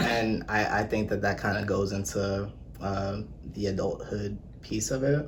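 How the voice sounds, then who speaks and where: A man's fairly low voice at a fairly slow pace, with ordinary pitch variation and very even loudness, amid noticeable background noise and audible room echo. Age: 20s. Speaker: accountant and personal trainer. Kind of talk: casual chat.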